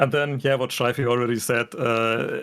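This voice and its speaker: Speaking in a German accent, a man keeps a medium pitch and a monotone, flat intonation. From Germany. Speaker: furry fandom guest. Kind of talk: casual chat. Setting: livestream video call. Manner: halting.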